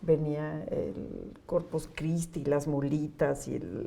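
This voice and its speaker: Audible room echo surrounds a woman's voice. She speaks at a very slow pace with a central Mexican accent. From Mexico City. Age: 60s. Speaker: NGO executive director. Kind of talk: interview. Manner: warm, conversational.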